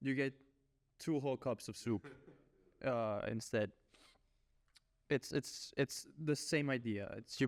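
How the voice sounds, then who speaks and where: The sound is dry and close with no echo, and the loudness stays very even. Speech moves at a fairly slow pace with ordinary pitch variation and long, frequent pauses. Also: man, medium pitch for a man. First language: Spanish. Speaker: podcast host. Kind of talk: casual podcast chat. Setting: podcast recording.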